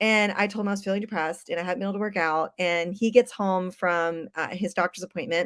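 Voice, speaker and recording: An animated woman's voice at medium pitch, dry and close with no echo, in a very clean recording with a silent background. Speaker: fitness coach and gym co-owner. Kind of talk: live stream talk. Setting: live video stream. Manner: fast.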